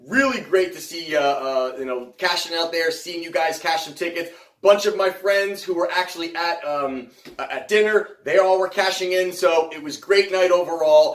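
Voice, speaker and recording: Over noticeable background noise, a high-pitched man talks at a moderate pace with ordinary pitch variation and big swings in loudness. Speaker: sports betting podcast host. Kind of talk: casual podcast monologue. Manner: mumbling.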